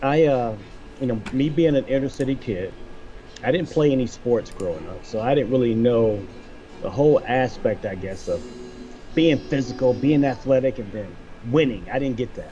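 Clear music plays in the background while a man speaks with long, frequent pauses. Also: ordinary pitch variation, moderate pace. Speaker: guest. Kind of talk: interview answer. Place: home room. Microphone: video call.

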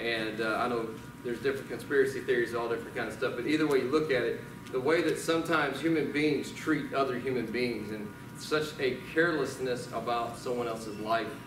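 Music plays in the background as a man speaks at a very fast pace. He has a Southern US accent and ordinary pitch variation. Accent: Southern US (Georgia). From US South. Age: 40s. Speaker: pastor. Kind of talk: sermon. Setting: church. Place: church.

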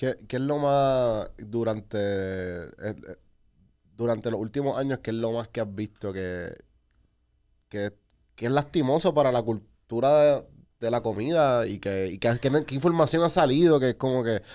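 Long, frequent pauses break up a man's fairly slow delivery. His pitch is medium with ordinary variation, and the background is quiet. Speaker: podcast host. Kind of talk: casual chat. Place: studio. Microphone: studio mic.

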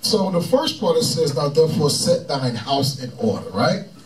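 Light background noise sits behind a man who speaks at a moderate pace. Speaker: religious teacher. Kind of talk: scripture teaching commentary. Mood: relaxed, joking. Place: studio.

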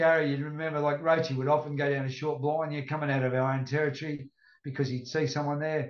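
Rattling along at a very fast pace, a man with an Australian accent speaks in a fairly high pitch with monotone, flat intonation. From Australia, Northern Rivers NSW. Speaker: retired rugby league player. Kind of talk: casual chat.

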